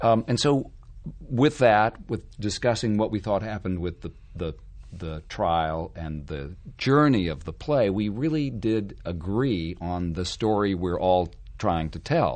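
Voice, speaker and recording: A man has a normal speaking voice, pitched fairly low, with lively intonation. He talks at a fairly slow pace against a quiet background. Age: 50s. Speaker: stage actor. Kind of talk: casual chat.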